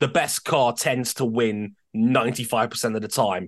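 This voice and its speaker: Against a quiet background, a man talks at a medium pitch with fairly even intonation. His pace is moderate, and he has a normal speaking voice. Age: 30s. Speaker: F1 podcast host. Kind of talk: casual chat.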